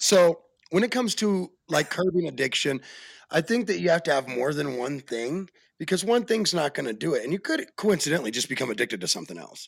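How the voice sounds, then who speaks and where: A man with an American accent, fairly quick and animated, with vocal fry and very wide pitch swings. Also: fairly high pitch for a man, very clean recording, silent background. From Arizona. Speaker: podcast host. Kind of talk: casual chat.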